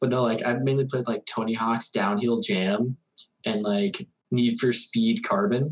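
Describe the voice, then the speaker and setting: In an ordinary speaking voice, a man talks at a fairly slow pace with a medium pitch, ordinary pitch variation and very even loudness. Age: 20s. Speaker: podcast co-host. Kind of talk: casual chat.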